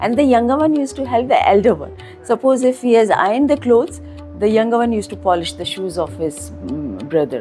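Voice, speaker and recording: Music plays behind the speaker. She is a woman talking at a fairly quick pace. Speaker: school owner and educationist. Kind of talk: interview answer.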